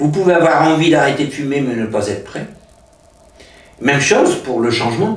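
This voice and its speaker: A man talks at a moderate pace with lively intonation, and audible room echo and noticeable background noise come through. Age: 60s. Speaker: hypnotist. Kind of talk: interview. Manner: hesitant, many filler sounds.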